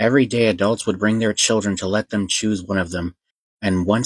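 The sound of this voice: Against a quiet background, an unforced reading voice keeps a fairly even intonation.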